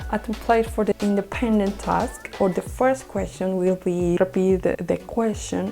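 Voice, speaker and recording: With music playing behind, the speaker talks at a fairly slow pace with a non-native accent. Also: woman. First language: Spanish. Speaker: English learner sharing test tips. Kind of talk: educational talk to camera.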